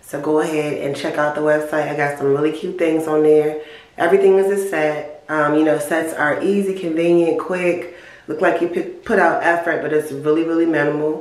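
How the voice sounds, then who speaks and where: A woman with a very deep, low pitch speaks at a moderate pace with fairly even intonation. Noticeable background noise and audible room echo surround her. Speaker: vlogger. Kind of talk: casual vlog outro.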